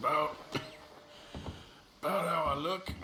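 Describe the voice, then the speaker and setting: A man performs in a put-on character voice. Clear background noise can be heard. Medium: machinima. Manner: terse, gruff.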